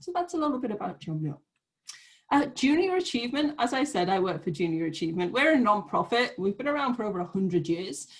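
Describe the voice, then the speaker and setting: A very fast pace with very wide pitch swings. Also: woman, fairly high pitch for a woman. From Great Britain. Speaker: nonprofit program manager. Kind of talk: online information session.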